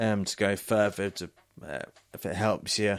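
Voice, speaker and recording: This man, with a British accent, has a fairly low voice and talks at a moderate pace. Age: 20s. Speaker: podcast host. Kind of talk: casual chat. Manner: halting, many fillers and restarts.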